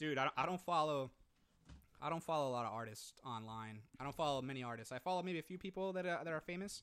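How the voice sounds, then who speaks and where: This man has a normal speaking voice with a fairly high pitch. He talks at a fairly quick pace with lively intonation. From Puerto Rico (Manatí), raised partly in US. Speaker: podcast co-host. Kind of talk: casual bilingual chat. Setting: remote recording.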